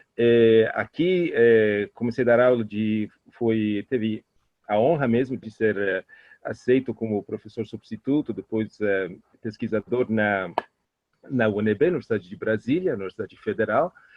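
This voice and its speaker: A man with an Italian accent speaks at a medium pitch. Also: ordinary pitch variation, moderate pace. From Italy, Trieste. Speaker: professor and Italian culture expert. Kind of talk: interview. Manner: halting.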